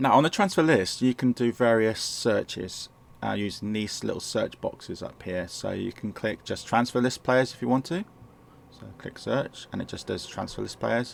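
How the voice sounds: A man speaks at a fairly low pitch with vocal fry. His pace is moderate and his pitch variation ordinary.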